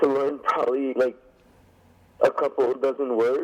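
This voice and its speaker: Moderate-paced speech against noticeable background noise. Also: man. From Quebec, Canada. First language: French. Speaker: pro wrestler. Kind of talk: interview.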